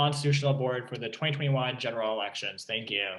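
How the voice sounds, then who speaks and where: Pitched at a medium level, a man's voice comes with audible room echo. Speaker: meeting chair. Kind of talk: council meeting chairing. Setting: video call.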